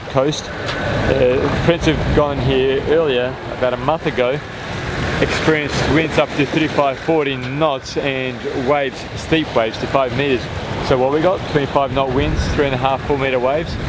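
A man at a moderate pace, dry sound with no echo, loud background noise behind him. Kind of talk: casual vlog chat. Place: boat. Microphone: phone near.

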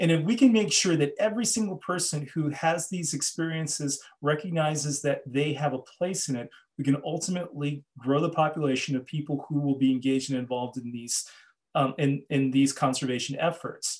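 Against a quiet background, a man with an American accent talks at a fairly quick pace in a somewhat breathy, fairly high voice. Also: ordinary pitch variation. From Los Angeles, US. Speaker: journalist and author; journalist. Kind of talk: lecture. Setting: video call. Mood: earnest, thoughtful. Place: home room. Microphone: webcam.

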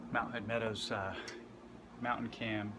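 Fairly slow speech from a man, noticeable background noise behind it. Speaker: skier vlogger. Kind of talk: casual vlog tutorial. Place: workshop. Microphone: phone near.

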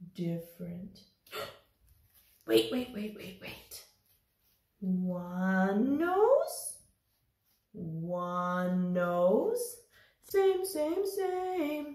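In a cartoonish character voice, a female-sounding voice at medium pitch for a woman moves at a very slow pace with long, frequent pauses and a slight echo. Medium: puppet. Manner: playful, simple repeated words.

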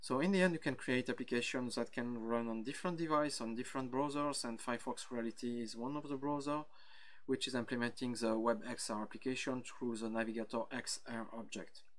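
A man with a French accent, medium pitch, ordinary pitch variation and a fairly quick pace. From France, Brittany. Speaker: software engineer. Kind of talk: conference talk. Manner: halting, frequent fillers.

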